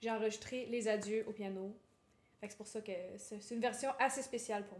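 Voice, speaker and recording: A woman talks at a very fast pace. Her fairly high voice keeps a fairly even intonation. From Quebec. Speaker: singer-songwriter. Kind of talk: interview.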